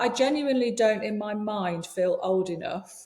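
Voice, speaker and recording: The voice shows ordinary pitch variation. Audible room echo surrounds it. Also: woman. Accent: English. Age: 60s. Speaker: leadership coach and yoga teacher. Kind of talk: podcast interview.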